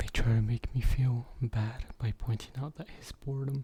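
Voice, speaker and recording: Somewhat breathy and dark, mellow in tone, a man speaks at a medium pitch with fairly even intonation. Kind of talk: ASMR scary story narration.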